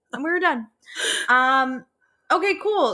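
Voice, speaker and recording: With a Chicago accent, a woman projects a raised, bright, sharp voice at a high pitch, making very wide pitch swings at a fairly slow pace. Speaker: podcast co-host. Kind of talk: casual chat.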